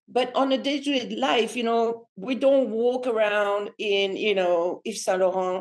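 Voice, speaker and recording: A woman with a French accent talks at a fairly slow pace, using ordinary pitch variation. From France. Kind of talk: podcast interview answer. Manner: casual, chatty.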